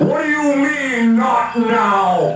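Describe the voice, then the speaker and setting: A man puts on a character voice at an extremely high pitch. Slight echo and clear background noise surround him. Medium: audio drama. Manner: blustering, demanding.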